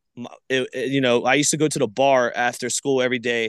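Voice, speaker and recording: A man with an American accent and a plain, everyday voice talks at a medium pitch and a fairly quick pace, with a quiet background and a dry, close sound with no echo. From Florida Gulf Coast, Palmetto/Bradenton area. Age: 30s. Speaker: rapper and YouTube host. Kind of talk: casual interview storytelling. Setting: remote call.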